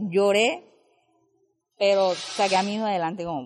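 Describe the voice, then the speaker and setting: Talking at a fairly slow pace, a woman keeps to a medium pitch. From Urabá, Antioquia, Colombia. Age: 20s. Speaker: youth community leader and dance teacher. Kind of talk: personal testimony.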